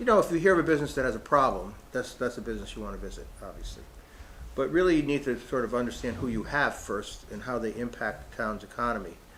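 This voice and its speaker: A man talks at a very fast pace with big swings in loudness, and audible room echo can be heard. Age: 60s. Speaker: economic development consultant. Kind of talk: public meeting presentation. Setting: in-person town hall meeting. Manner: halting, many fillers and restarts.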